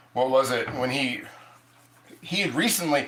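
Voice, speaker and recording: In an Ohio accent, the speaker moves at a fairly quick pace with ordinary pitch variation, amid noticeable background noise and audible room echo. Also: man. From Ohio, US. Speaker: cast iron cooking streamer. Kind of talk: live stream cooking chat. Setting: live stream. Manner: halting, many restarts and fillers.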